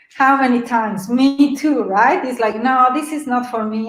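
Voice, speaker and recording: A woman with a slight Mexican accent speaks at a moderate pace in a high pitch, with audible room echo around her. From Mexico City. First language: Spanish. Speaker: webinar presenter. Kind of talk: webinar presentation. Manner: animated.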